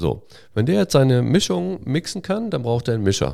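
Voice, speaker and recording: Man's fairly low voice with a dark, mellow tone, very wide pitch swings and a moderate pace, on a very clean recording with a silent background. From Westphalia, northwest Germany (Hagen am Teutoburger Wald). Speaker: software company founder. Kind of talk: interview. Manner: frequent filler hesitations.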